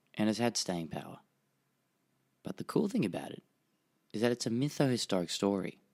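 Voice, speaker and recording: A man speaks with an Australian accent at a very fast pace. His intonation is lively. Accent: Australian, nasal. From Japan (Tokyo), Australian family. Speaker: history podcaster. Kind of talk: podcast narration.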